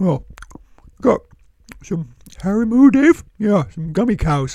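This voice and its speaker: This is a put-on character voice at a fairly high pitch. It moves at a fairly slow pace with very wide pitch swings. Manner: friendly, curious.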